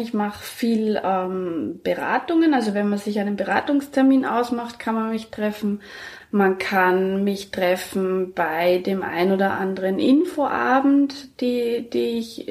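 A woman speaking at a very slow pace with lively intonation, over noticeable background noise. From Germany. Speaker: midwife. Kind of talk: interview. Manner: hesitant with frequent fillers.

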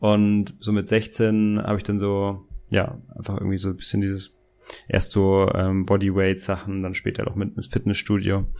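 A man with a fairly low voice speaks at a moderate pace in a monotone, flat intonation. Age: 20s. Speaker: business coach. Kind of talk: casual interview.

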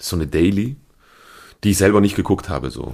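With a silent background, this very clean recording captures a man speaking. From Switzerland, Appenzell. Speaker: stage actor. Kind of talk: casual interview.

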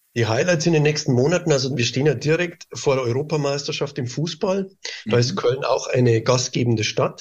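Fairly quick speech from a man, fairly high in pitch, somewhat breathy, with ordinary pitch variation and very even loudness. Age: 50s. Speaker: tourism board director. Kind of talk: interview.

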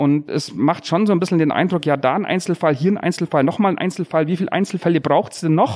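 Recorded very clean with a silent background and a dry, close sound with no echo, a man speaks high for his sex at a fairly quick pace with ordinary pitch variation. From Bavarian Swabia (Unterallgäu). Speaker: police detective and local politician. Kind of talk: podcast interview.

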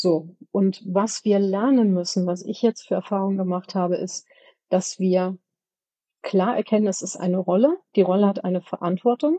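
Her tone dark and mellow, a woman speaks with ordinary pitch variation in a dry, close sound with no echo. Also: medium pitch for a woman, moderate pace. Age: 50s. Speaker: company board member for products. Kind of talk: interview.

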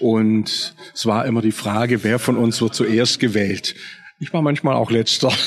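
A man with a medium pitch talks at a fairly slow pace, his loudness very even and his intonation fairly even. Noticeable background noise is present. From Swabia, southern Germany. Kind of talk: interview conversation. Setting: café at a train station.

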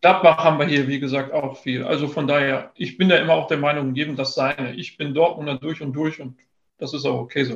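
At a fairly quick pace, a man with a fairly high pitch speaks in a somewhat breathy voice with fairly even intonation. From Ruhr area, western Germany (near Dortmund). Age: 30s. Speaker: trading card business owner and content creator. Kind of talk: podcast interview.

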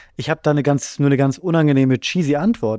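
A man speaks with a fairly high pitch and ordinary pitch variation. The very clean recording has a silent background and a dry, close sound with no echo. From Bremen, northern Germany. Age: 30s. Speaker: comedy writer. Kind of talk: casual chat.

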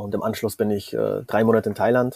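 Speaking at a very fast pace, a man with a medium pitch and a dark, mellow tone keeps a monotone, flat intonation, in a dry, close sound with no echo. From Bavaria, Munich. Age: 30s. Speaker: online entrepreneur. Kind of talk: interview conversation. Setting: remote call from a catamaran in the Caribbean.

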